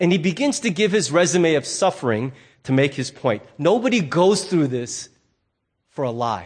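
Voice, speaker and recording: Pitched fairly high, a man's voice moves through very wide pitch swings. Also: moderate pace. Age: 50s. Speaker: pastor. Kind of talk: sermon. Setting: church.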